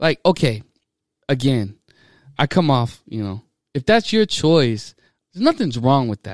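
A man with an American accent, medium pitch, very wide pitch swings and big swings in loudness, a fairly slow pace with long, frequent pauses, and a dry, close sound with no echo. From small town Texas. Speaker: Navy sailor. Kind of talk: casual chat. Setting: studio.

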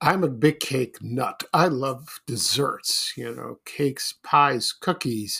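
A man with an American accent talks at a very slow pace with hardly any pauses, in a dry, close sound with no echo. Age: 60s. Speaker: podcast host. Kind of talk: casual monologue. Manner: halting.

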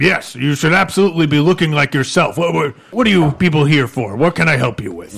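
In a put-on character voice, a man talks at a fairly quick pace with hardly any pauses, his fairly high pitch carrying lively intonation. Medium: actual play. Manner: blunt, probing, self-assured.

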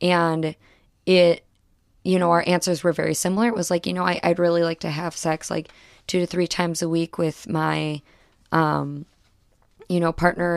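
An unremarkable speaking voice from a woman, fairly low in pitch, at a moderate pace with fairly even intonation, in a dry, close sound with no echo on a very clean recording with a silent background. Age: 20s. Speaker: podcast guest discussing her relationships. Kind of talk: casual interview chat.

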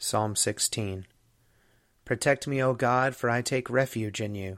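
The very clean recording, with a silent background, captures a man speaking at a medium pitch. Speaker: Episcopal priest and podcast host. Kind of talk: scripture reading aloud.

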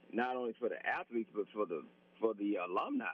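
This voice belongs to a man. He speaks with a Southern US accent. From Alabama. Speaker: former college quarterback. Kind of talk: radio interview.

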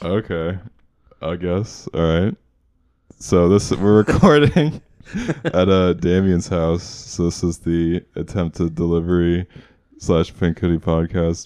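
A man's very deep, low voice with a dark, mellow tone, fairly even intonation, a very slow pace and long, frequent pauses. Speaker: podcast co-host. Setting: recording at a friend's house.

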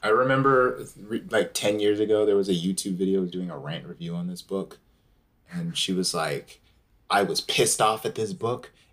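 A man with an unremarkable speaking voice, pitched fairly low, talks at a moderate pace. His intonation is lively. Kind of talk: casual banter. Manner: joking, sarcastic.

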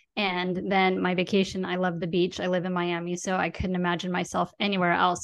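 Speaking at a fairly quick pace against a quiet background, a woman keeps a medium pitch in a monotone, flat intonation. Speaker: podcast host and money coach. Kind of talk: casual interview. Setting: studio.

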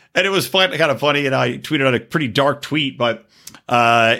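An animated man with a bright, sharp tone, moderate pace, very clean recording and silent background. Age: 40s. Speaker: podcast host. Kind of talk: casual monologue.

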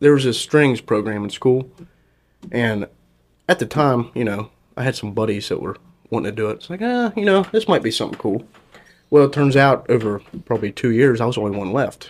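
A man talks at a fairly quick pace with a medium pitch and lively intonation. Long, frequent pauses break up his speech. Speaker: violinist and strings player. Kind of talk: casual chat.

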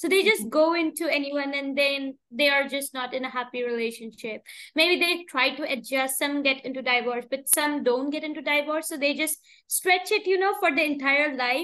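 A woman's raised, projected voice, high-pitched, with a bright, sharp tone and ordinary pitch variation. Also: moderate pace. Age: 20s. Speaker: podcast host. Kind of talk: interview.

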